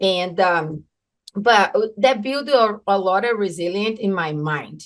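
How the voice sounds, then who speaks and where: Speech comes at a very slow pace, with a Brazilian Portuguese accent. The pitch varies in an ordinary way. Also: woman, medium pitch for a woman. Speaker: entrepreneur. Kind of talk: podcast interview. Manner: halting, many fillers.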